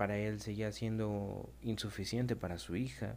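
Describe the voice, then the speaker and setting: A man talks very slowly in a fairly low, dark, mellow voice. There is audible room echo. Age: 20s. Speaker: podcaster, young father. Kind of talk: personal storytelling monologue.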